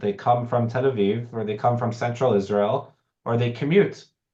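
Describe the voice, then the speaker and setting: A man with an American accent speaks at a moderate pace and medium pitch with ordinary pitch variation. He has an unremarkable speaking voice. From United States. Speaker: professor. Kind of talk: online information session. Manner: conversational with fillers.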